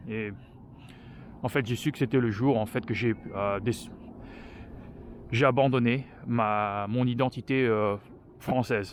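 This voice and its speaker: A man speaks very slowly at a medium pitch with fairly even intonation. Long pauses come often. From France. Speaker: vlogger. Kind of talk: casual personal vlog talk while walking. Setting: outdoors on a walk. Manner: halting, many hesitations.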